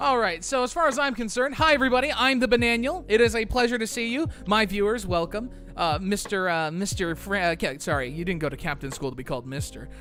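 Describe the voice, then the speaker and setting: With music in the background, the speech runs at a very fast pace with hardly any pauses. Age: 20s. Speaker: streamer. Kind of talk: casual chat. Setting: live stream. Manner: animated.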